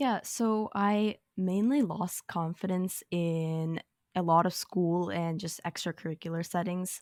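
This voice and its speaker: Recorded very cleanly against a silent background, a woman with a fairly low voice talks at a fairly slow pace, the sound dry and close with no echo. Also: ordinary pitch variation. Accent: American. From US, moved from India (Kerala region) at about five. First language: Malayalam. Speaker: nonprofit founder. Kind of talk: podcast interview.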